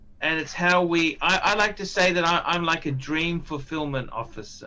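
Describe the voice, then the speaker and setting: This man has an Australian accent and a bright, sharp tone. His pitch is high, with ordinary variation, at a moderate pace. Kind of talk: casual chat. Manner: halting, repetitive.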